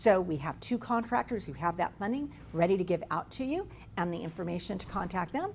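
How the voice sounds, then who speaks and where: A woman speaks with lively intonation. Her voice carries vocal fry. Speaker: state workforce training agency representative. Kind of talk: presentation to business audience. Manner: fast.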